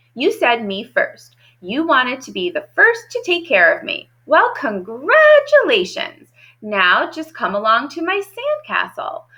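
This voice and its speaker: In a put-on character voice, a female-sounding speaker cackles at an extremely high pitch and a fairly slow pace. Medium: read story. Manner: cackling, bossy.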